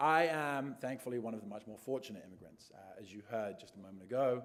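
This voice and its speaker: A man with an English accent talks at a moderate pace and medium pitch, his pitch varying in an ordinary way. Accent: English accent noticeable. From England. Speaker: immigration attorney. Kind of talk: award acceptance speech.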